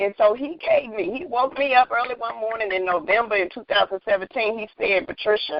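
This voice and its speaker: Animated and quick, a woman talks at a fairly quick pace with a fairly high pitch and lively intonation. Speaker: minister and author, podcast guest. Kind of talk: faith-based interview conversation. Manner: loud.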